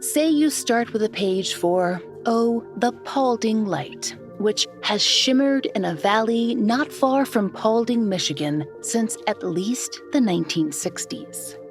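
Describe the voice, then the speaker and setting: Music plays in the background as a woman speaks. Her pace is very slow, with hardly any pauses. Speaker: podcast host. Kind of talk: documentary storytelling narration.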